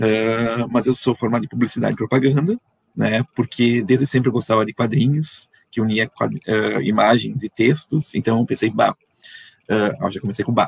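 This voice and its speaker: A man's voice carries vocal fry in a dry, close sound with no echo. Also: medium pitch for a man, ordinary pitch variation, moderate pace. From southern Brazil, Erechim, Rio Grande do Sul. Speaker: comics artist and researcher. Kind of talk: online panel conversation.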